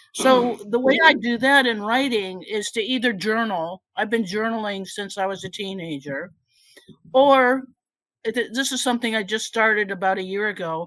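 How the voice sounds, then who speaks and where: At a moderate pace, a woman speaks at medium pitch with ordinary pitch variation in a normal speaking voice. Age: 60s. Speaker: retired scientist, audience member asking question. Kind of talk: Q&A comment at meeting.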